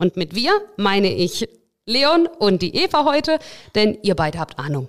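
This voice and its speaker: A woman's fairly high voice with very wide pitch swings, in a very clean recording with a silent background. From Russia. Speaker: podcast host for a bank. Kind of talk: casual chat.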